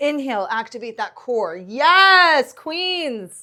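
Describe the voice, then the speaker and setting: Raised and projected, the voice has a bright, sharp tone and very wide pitch swings, moving at a very slow pace on a very clean recording with a silent background. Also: woman. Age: 40s. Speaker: yoga teacher. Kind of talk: guided yoga class. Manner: encouraging.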